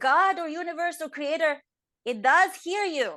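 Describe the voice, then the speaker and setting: A woman's lively intonation comes through clearly in a quiet background. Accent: non-native. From Estonia. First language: not English. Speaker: inspirational speaker. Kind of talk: interview answer.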